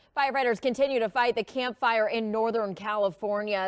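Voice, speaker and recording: A normal speaking voice with an American accent, fairly quick in pace, with ordinary pitch variation. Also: woman. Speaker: TV news anchor and reporter. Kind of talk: local TV news anchor delivery.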